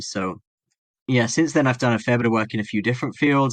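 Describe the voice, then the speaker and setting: A man speaks with an English accent at a medium pitch and ordinary pitch variation. The background is quiet. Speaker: philosophy academic and medical doctor. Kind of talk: podcast interview.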